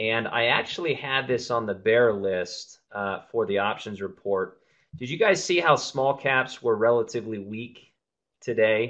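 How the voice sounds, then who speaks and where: Here is an ordinary speaking voice. It moves at a moderate pace with ordinary pitch variation. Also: man. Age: 30s. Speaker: trading educator, show host. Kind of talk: live webinar market analysis. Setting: live online webinar with screen share.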